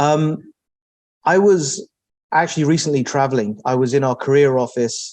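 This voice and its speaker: Here a man with a London accent speaks at a moderate pace. His medium-pitched voice has a dark, mellow tone and ordinary pitch variation. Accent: English (London), noticeable. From England, Southwest London (New Malden). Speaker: technology executive. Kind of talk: interview. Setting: office.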